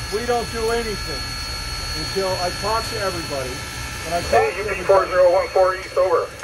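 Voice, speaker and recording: Loud background noise dominates the clip. A man's voice comes through it. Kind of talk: explaining to children. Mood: friendly, patient. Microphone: phone near.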